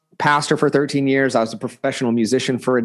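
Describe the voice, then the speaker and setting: With an Oklahoma accent, a man talks in fairly even intonation against a quiet background. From Oklahoma, near Tulsa. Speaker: leadership coach and former pastor. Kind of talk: podcast interview.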